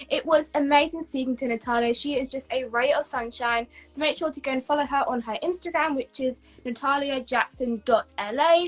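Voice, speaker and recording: A woman talks at a fairly quick pace with a British accent. Her pitch is high. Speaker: YouTube interviewer. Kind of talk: online interview.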